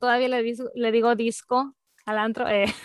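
A woman speaks at a moderate pace. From Mexico, Mérida, Yucatán. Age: 30s. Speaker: podcast co-host, office manager. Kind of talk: casual chat. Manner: soft-spoken.

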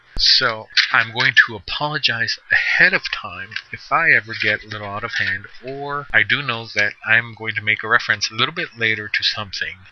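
Medium-pitched male voice at a moderate pace, ordinary pitch variation, noticeable background noise. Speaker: podcaster and gamer. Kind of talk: solo podcast monologue. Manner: casual, conversational.

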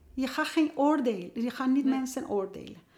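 A woman with a Persian accent speaks at a high pitch in a dark, mellow tone with lively intonation. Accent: Persian-accented Dutch. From Iran. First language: Persian (speaking Dutch). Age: 50s. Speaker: youth care worker and author. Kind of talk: casual interview. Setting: at a kitchen table. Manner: halting.

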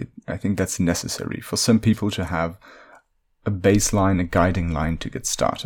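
With a Dutch accent, a man speaks at a moderate pace with ordinary pitch variation. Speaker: podcast host, linguist and fantasy worldbuilder. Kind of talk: solo storytelling monologue.

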